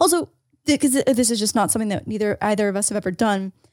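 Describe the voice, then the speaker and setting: In a plain, everyday voice, a woman speaks at a fairly high pitch, with a dry, close sound and no echo. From Canada. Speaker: podcast co-host. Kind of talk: casual chat.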